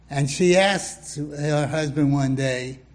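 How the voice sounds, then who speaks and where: A man's fairly high-pitched voice at a fairly slow pace. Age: 80s+. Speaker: pastor. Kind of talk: sermon.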